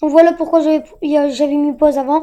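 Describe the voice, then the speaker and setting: A woman's voice sits extremely high in pitch yet carries a dark, mellow tone. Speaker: gaming youtuber. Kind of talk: gameplay commentary. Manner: animated.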